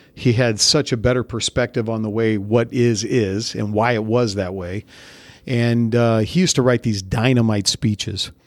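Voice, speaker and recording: A man with an American accent and an unremarkable speaking voice talks at a medium pitch with ordinary pitch variation, recorded very cleanly against a silent background with a dry, close sound and no echo. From Central California. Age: 40s. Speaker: army officer. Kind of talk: interview.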